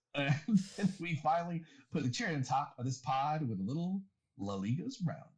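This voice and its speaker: Using an American accent, a man talks at a fairly quick pace in a fairly high pitch with very wide pitch swings. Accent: southern accent, may come out. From eastern North Carolina. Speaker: podcast host. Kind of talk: casual chat; episode intro rundown.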